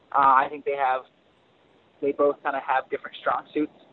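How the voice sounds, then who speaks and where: The speaker is a man with a fairly high voice. He talks at a fairly quick pace. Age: 20s. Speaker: motocross racer. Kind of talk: casual interview. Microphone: dropping line, sounded robotic at times.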